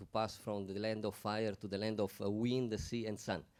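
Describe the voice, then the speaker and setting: With an Italian accent, a man speaks in a fairly low pitch at a moderate pace. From Italy. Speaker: panel speaker. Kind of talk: panel discussion.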